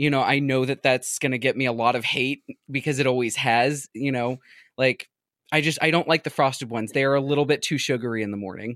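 Speaking at a very fast pace and a medium pitch, a man comes through in a very clean recording with a silent background and a dry, close sound with no echo. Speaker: guest podcaster discussing Goosebumps books. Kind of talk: casual chat. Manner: outgoing.

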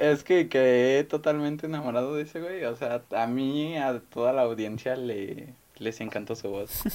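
A man speaks at a medium pitch and a fairly slow pace, with hardly any pauses. His pitch varies in an ordinary way. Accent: Mexican. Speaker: student, podcast co-host. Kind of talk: casual chat.

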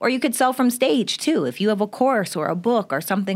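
A woman speaks in a normal speaking voice at a fairly quick pace. Her intonation is lively, and the recording is very clean with a silent background. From Canada. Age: 30s. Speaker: entrepreneur and business coach. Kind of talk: casual interview.

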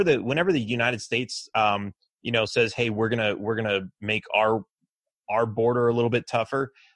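With an American accent and a normal speaking voice, a man talks at a moderate pace and medium pitch against a quiet background. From Los Angeles, later Texas. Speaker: political candidate. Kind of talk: interview.

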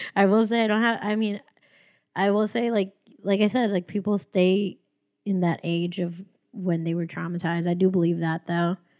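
On a very clean recording with a silent background, a woman with an American accent speaks in an ordinary speaking voice at medium pitch, moderate pace, and fairly even intonation. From US, Filipino family. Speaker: stand-up comedian. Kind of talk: casual chat.

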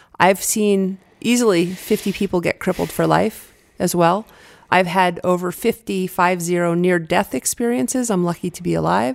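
A woman speaks in a normal speaking voice at a medium pitch with ordinary pitch variation. Her pace is moderate, and the recording is very clean with a silent background. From New Hampshire, US. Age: 50s. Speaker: former pro skier, fear and anxiety expert. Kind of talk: interview conversation.

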